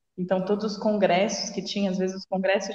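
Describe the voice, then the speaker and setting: A woman's ordinary speaking voice at a medium pitch and a fairly quick pace. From Jundiaí, São Paulo state, Brazil. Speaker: sports psychologist. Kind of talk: casual chat. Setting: video call.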